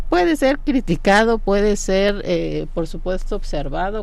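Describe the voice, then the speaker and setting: Lively intonation from a woman, with audible room echo. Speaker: law professor. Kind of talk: radio interview.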